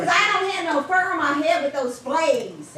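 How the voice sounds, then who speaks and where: In a put-on character voice with an extremely high pitch, a woman speaks at a moderate pace amid loud background noise and a slight echo. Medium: stage play.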